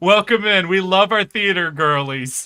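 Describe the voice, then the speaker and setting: A man with an American accent speaks in a raised, projected voice at high pitch, bright and sharp in tone. His pace is moderate and his pitch variation ordinary. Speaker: streamer. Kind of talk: casual chat. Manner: animated.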